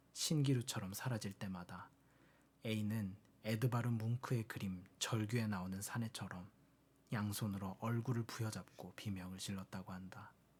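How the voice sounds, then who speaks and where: A man speaks in a calm tone with a fairly low pitch and ordinary pitch variation. His voice sounds strained and somewhat breathy. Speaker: audiobook reader. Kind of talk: book reading. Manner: calm, plain, restrained; soft-spoken ASMR style.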